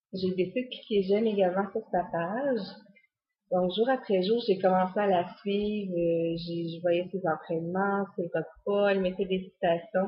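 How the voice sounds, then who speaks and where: In a Quebec accent, a woman speaks fairly slowly at a medium pitch, somewhat breathy, with ordinary pitch variation. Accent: Québécois French. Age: 30s. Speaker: fitness coach. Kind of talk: personal testimony. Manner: hesitant, many fillers.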